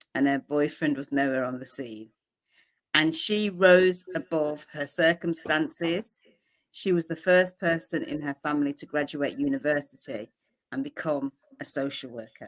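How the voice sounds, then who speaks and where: In a Birmingham accent, a woman with a very deep, low pitch speaks at a moderate pace with ordinary pitch variation. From England, Birmingham. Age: 40s. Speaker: publisher. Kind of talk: interview.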